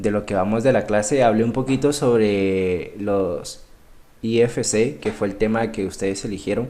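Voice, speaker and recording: A man speaks at a fairly slow pace with a dark, mellow tone. His pitch is fairly low, with ordinary variation. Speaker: trading instructor. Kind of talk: live online class. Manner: halting, many repetitions.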